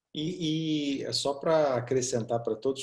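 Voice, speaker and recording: Somewhat breathy and fairly even in intonation, a man with a Brazilian accent speaks at a fairly slow pace. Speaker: co-host of a couple's channel. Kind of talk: casual chat.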